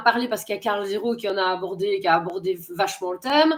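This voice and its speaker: A woman is speaking. Her intonation is lively. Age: 40s. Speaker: interviewer. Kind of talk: interview. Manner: halting.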